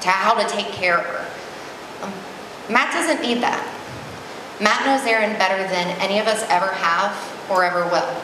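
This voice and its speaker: A woman is speaking with ordinary pitch variation. Noticeable background noise and audible room echo surround her voice. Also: medium pitch for a woman, moderate pace. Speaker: maid of honor. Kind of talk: wedding reception toast, personal and sentimental. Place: hall. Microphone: handheld.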